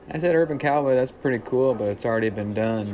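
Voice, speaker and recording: Audible room echo and noticeable background noise accompany a man's voice. He has a slight Southern accent and ordinary pitch variation. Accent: slight Southern, small town twang. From Central Illinois, small town. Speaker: folk singer-songwriter. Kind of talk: casual interview. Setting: bar.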